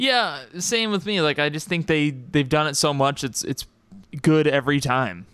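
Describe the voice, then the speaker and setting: With lively intonation, a man talks in a normal speaking voice at a fairly high pitch. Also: moderate pace. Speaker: podcast host. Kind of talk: casual podcast interview.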